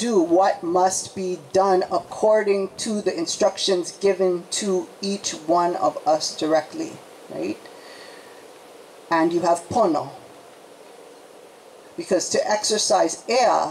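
The speech goes at a very slow pace with ordinary pitch variation and long, frequent pauses over light background noise. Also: woman. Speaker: speaker. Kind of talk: public talk. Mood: earnest, reflective. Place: tent. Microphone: handheld.

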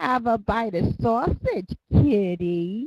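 A woman puts on a shrill character voice at medium pitch, speaking at a very slow pace. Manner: screeching, shrill.

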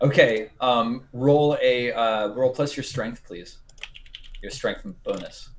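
A man speaks at a very slow pace. His loudness swings widely. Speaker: game master. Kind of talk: tabletop role-play narration. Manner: halting, many fillers. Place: home room. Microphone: video call.

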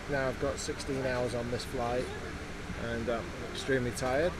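Loud background noise sits behind a man talking at a fairly quick pace. The sound is dry, with no echo. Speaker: travel vlogger. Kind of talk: casual vlog chat. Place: plane. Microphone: phone near.

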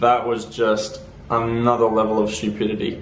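Light background noise and audible room echo around a man's voice. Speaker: travel vlogger. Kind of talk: casual vlog chat. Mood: annoyed, recounting bad trip. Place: home room. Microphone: phone near.

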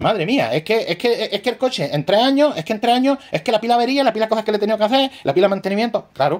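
Very fast, animated speech in an Andalusian accent. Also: man. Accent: Andalusian (Granada). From Granada, Andalusia, Spain; Andalusia, Spain. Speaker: radio-control shop owner and YouTuber; radio-control shop owner, YouTuber. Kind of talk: tutorial. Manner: animated, repetitive. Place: shop. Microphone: phone near.

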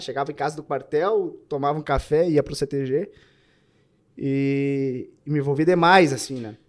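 Against a quiet background, a man talks at a moderate pace in a Gaúcho Brazilian accent. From southern Brazil. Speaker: army soldier and butcher shop owner. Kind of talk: casual chat. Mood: reflective, nostalgic. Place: studio. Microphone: studio mic.

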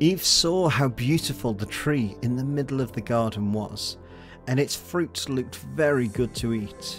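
Music plays in the background as a man with an English accent talks. His intonation is lively and his pace fairly slow. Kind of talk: children's story narration.

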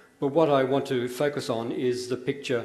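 This man talks at a moderate pace with an Australian accent, using a medium pitch, fairly even intonation and some vocal fry. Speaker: retired diplomat and historian. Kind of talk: lecture. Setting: stage with audience.

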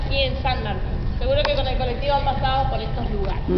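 Noticeable background noise beneath a female speaker. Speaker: winery tour guide. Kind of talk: guided tour explanation.

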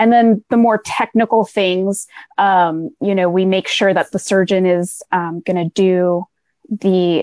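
The pace is fairly slow and the intonation fairly even. The sound is dry with no echo, over a quiet background. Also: woman. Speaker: guest. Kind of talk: interview answer. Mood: friendly, smiling. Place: home room.

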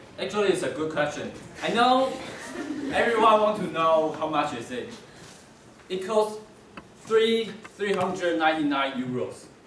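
A man talks at a fairly slow pace with long, frequent pauses, his voice carrying audible room echo over light background noise. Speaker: presenter. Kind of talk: class presentation. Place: classroom. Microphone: camera far.

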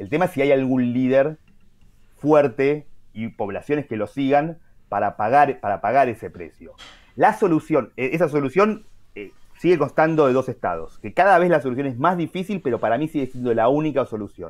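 A man with a fairly high pitch speaks over a quiet background. His loudness swings widely. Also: lively intonation, moderate pace. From Argentina. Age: 40s. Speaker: journalist and writer; journalist. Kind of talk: interview. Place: home room. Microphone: video call.

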